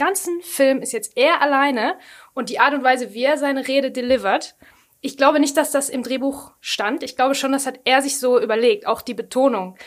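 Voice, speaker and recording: In a Ruhr accent, the speaker goes at a fairly quick pace with ordinary pitch variation. The recording is very clean, with a silent background. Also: woman. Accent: Ruhr German (Ruhrpott). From Ruhr area, Germany. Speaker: podcast co-host. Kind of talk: casual chat.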